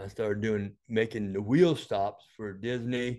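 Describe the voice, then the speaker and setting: In an American accent, a man speaks at a fairly slow pace with fairly even intonation against a quiet background. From Florida. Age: 60s. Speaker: health device inventor; interview guest. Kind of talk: interview. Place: office.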